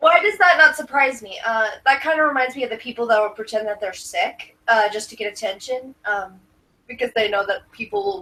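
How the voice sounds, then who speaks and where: A woman speaks with a high pitch and a bright, sharp tone. Her moderate pace carries very wide pitch swings. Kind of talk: casual chat. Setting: live stream. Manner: slurs words sometimes.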